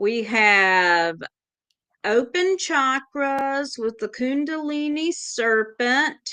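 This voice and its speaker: Speaking in a Southern US accent, the voice is raised and projected, bright and sharp in tone. The pace is very slow, and the intonation is lively. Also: woman, high pitch for a woman. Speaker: tarot reader. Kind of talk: casual chat.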